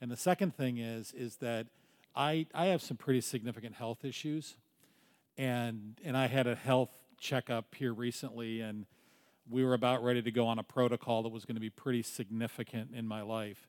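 This man has an unremarkable speaking voice, pitched medium, moving at a moderate pace with fairly even intonation. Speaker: congregation member sharing. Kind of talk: personal testimony.

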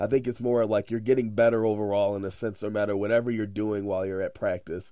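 Speaking at a fairly quick pace, a man with an American accent has a dark, mellow tone and a fairly low pitch. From Chicago area, Illinois. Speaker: college baseball head coach. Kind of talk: casual interview.

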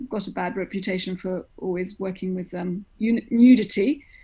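A woman with an American accent talks at medium pitch in a dark, mellow, somewhat breathy tone with fairly even intonation. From grew up in Greece, the US and Germany. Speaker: opera director. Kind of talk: interview.

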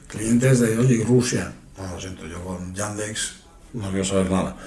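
A man with a fairly low pitch is heard through audible room echo and noticeable background noise. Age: 30s. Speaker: podcast host. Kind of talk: casual chat. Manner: halting.

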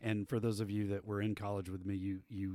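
A man with a Texan accent speaks in a fairly low voice with a dark, mellow tone. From West Texas (Abilene). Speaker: band director, podcast host. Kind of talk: casual chat. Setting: performing arts center.

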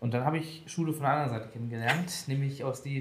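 Over audible room echo, a man at a medium pitch talks at a fairly quick pace with fairly even intonation. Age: 20s. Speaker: IT project manager. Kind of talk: casual interview.

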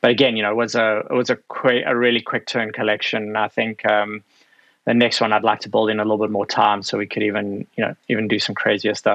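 Speaking very fast, a man keeps a monotone, flat intonation. His pitch sits fairly low. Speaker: apparel executive. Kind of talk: casual interview. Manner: hesitant, filler-heavy.

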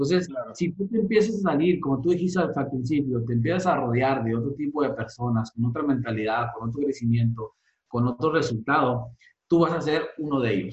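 A man speaks at a fairly high pitch, somewhat breathy, with lively intonation. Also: fairly quick pace. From Mexico, Sonora (Santa Ana, near US border). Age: 30s. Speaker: network marketing leader. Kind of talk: interview. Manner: halting, many fillers.

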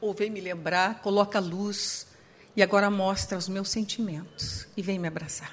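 A woman's somewhat breathy voice at a medium pitch, flat and monotone in intonation, at a moderate pace. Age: 60s. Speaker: psychologist. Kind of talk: sermon. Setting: church with audience.

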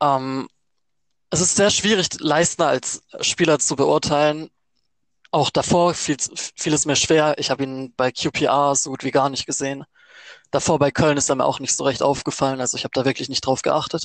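Fairly high in pitch, a man with a normal speaking voice talks at a moderate pace. His intonation stays fairly even. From Baden-Württemberg, Germany (Offenburg). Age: 20s. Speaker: student, fan podcast co-host. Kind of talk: casual chat. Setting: remote recording.

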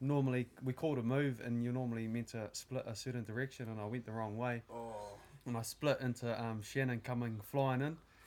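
Speaking fairly quickly with a New Zealand accent, a man keeps his intonation flat and monotone. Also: medium pitch for a man. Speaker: podcast co-host. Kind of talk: casual chat.

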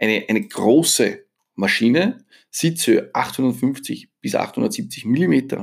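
On a very clean recording with a silent background, a man with an Austrian accent speaks at a very slow pace. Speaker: motorcycle journalist and podcast host. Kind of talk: solo podcast monologue. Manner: casual, conversational.

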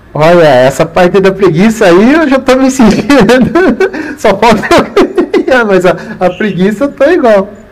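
A man at a fairly slow pace with lively intonation over noticeable background noise. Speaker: running channel host. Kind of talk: live interview. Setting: live stream, video call. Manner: animated. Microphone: audio problem at start.

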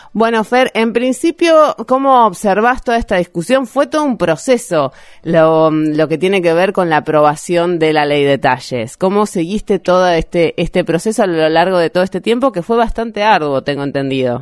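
A woman talks at a moderate pace and medium pitch with very wide pitch swings, very even loudness and hardly any pauses. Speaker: podcast host. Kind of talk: interview.

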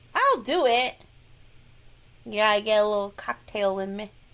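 A woman with an American accent speaks at a fairly high pitch in an animated tone. Noticeable background noise runs under her voice. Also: long, frequent pauses, big swings in loudness. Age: 40s. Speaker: podcast co-host. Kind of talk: casual chat.

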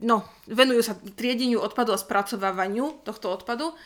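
In a very clean recording with a silent background, a woman speaks at a fairly quick pace with fairly even intonation and a bright, sharp tone. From northwestern Slovakia (Rajecká Lesná). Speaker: podcast co-host. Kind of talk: casual chat.

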